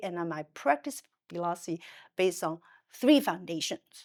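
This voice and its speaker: Very wide pitch swings mark a woman speaking at a moderate pace with a Chinese accent. The recording is very clean with a silent background and a dry, close sound with no echo. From China. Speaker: psychiatrist. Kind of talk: interview conversation. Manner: halting, with frequent fillers and self-corrections.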